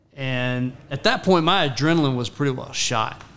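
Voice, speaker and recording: Here a man speaks with an American accent at a fairly high pitch. His pace is moderate and his pitch variation ordinary. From Texas, Rockwall. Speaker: guest. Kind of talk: casual chat. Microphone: far from the mic.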